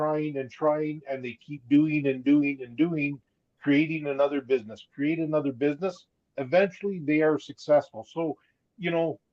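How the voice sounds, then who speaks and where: In a Canadian accent and a normal speaking voice, a man with fairly high pitch talks at a moderate pace with fairly even intonation and big swings in loudness. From Alberta, western Canada. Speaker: guest business partner. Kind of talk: casual live chat.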